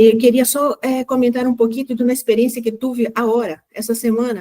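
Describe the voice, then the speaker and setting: Speaking in a Brazilian accent, a woman with a high pitch and a dark, mellow tone talks at a fairly quick pace with monotone, flat intonation. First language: Portuguese (speaking Spanish). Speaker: human rights collaborator. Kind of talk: panel discussion comment.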